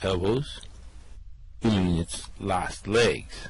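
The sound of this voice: A man puts on a character voice with a low pitch and ordinary pitch variation, speaking at a very slow pace.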